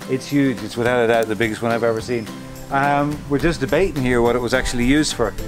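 Clear music plays in the background as the speech moves at a fairly quick pace. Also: man. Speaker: travel vlogger. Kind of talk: casual vlog chat. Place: street.

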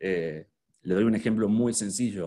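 Over a quiet background, a man talks at a very slow pace. His fairly low voice has ordinary pitch variation. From Argentina. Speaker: luxury hotel marketing specialist; presenter. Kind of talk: online workshop talk. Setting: video call with screen sharing. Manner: hesitant, many fillers and repetitions. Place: home room. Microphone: webcam.

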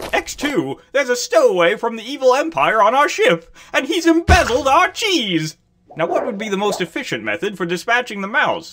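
This cartoonish character voice sits fairly high in pitch and jumps through very wide pitch swings. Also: moderate pace. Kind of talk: cartoon comic voice acting. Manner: prissy, fussy, exasperated.

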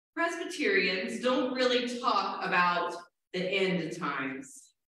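Strong room echo surrounds a woman's medium-pitched voice. She talks at a very slow pace with very wide pitch swings. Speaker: Presbyterian minister. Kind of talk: sermon. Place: church.

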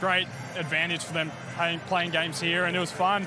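Through noticeable background noise, a man talks at a moderate pace in a raised, projected voice, the sound dry with no echo. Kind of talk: interview answer. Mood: pleased after a win. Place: stadium. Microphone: handheld.

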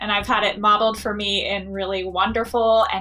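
Behind the woman's voice, music plays faintly. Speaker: university teacher. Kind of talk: interview answer. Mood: warm, thoughtful. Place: office. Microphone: webcam.

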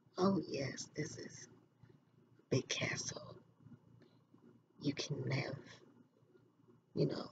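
She speaks only in a whisper. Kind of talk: role-play client consultation. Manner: soft-spoken, gentle ASMR voice. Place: home room. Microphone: webcam.

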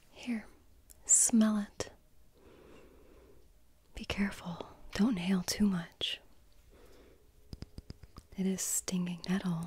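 A woman whispers softly at a very slow pace, somewhat breathy, with long, frequent pauses and a dry sound with no echo. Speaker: ASMR roleplay host. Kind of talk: soft-spoken roleplay talk. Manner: soft close-up ASMR whisper. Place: home room.

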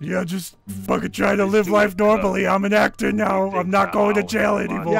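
A man uses a high-pitched, put-on character voice at a moderate pace. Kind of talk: comic overacting. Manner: jittery, rambling, paranoid.

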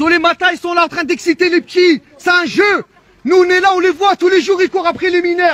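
Speaking at a fairly quick pace, a man with an extremely high pitch keeps his intonation fairly even, and the recording is dry and close with no echo. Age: 30s. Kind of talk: heated confrontation. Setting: outdoors. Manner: loud; fast.

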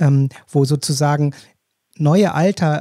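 This man has a fairly high pitch and a dark, mellow, somewhat breathy tone. The sound is dry and close, with no echo. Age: 50s. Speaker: podcast host. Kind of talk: interview.

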